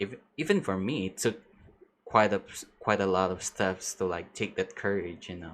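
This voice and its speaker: A man's voice with a fairly low pitch. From outside the US. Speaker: vtuber streamer. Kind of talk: casual live stream chat. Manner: halting, hesitant.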